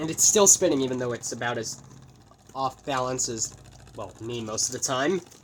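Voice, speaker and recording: Speech comes at a moderate pace. Noticeable background noise runs underneath. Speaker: toy reviewer. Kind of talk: unboxing and product testing. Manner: halting.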